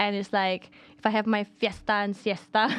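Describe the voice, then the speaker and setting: This woman has a medium pitch and a moderate speed. Her intonation stays monotone and flat. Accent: Polish. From Poland. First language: Polish. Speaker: podcast co-host. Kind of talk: casual chat.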